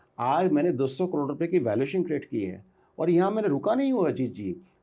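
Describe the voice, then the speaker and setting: Against a quiet background, a man with a dark, mellow tone and high pitch speaks at a moderate pace with lively intonation. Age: 60s. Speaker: entrepreneur. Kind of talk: interview. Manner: animated.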